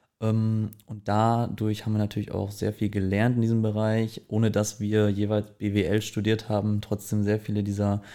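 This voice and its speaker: A man speaks at a moderate pace in a fairly low voice with a dark, mellow tone. The recording is very clean, with a silent background. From East Westphalia, Germany (Herford). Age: 20s. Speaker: startup founder. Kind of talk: podcast interview. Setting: studio room with blankets to dampen echo.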